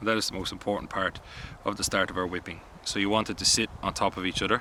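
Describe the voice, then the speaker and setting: Someone with an Irish accent talks at a very fast pace in a monotone, flat intonation. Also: man, fairly low pitch for a man. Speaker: bushcraft instructor. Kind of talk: tutorial.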